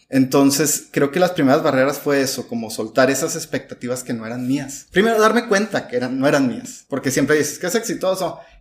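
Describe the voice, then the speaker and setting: In a normal speaking voice, a man with a fairly high pitch talks at a fairly quick pace with hardly any pauses. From Mexico, Chihuahua. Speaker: migrant shelter director. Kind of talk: interview.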